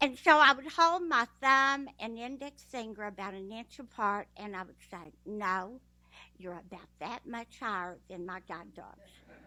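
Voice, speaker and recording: Woman with a Texas accent, fairly high-pitched, bright and sharp in tone, lively in intonation, fairly slow, with big swings in loudness, on a very clean recording with a silent background. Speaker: blind guide dog user, graduate. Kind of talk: speech at a ceremony.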